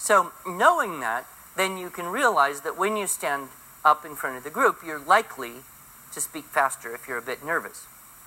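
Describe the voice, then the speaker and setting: A man talks at a moderate pace with a fairly high pitch and lively intonation. His loudness swings widely, and there is noticeable background noise. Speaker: public speaking teacher. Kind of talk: classroom lecture. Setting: small classroom.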